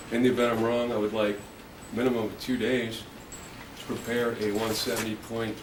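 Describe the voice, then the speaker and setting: Monotone, flat intonation from a man, with noticeable background noise. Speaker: self-represented defendant. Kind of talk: courtroom argument by self-represented defendant. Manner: calm, composed, does not raise his voice.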